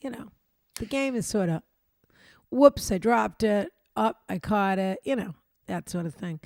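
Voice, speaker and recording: Recorded dry and close with no echo and a silent background, a woman speaks at medium pitch with lively intonation. Her pace is fairly slow, with long, frequent pauses and big swings in loudness. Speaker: advice show host. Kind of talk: casual chat.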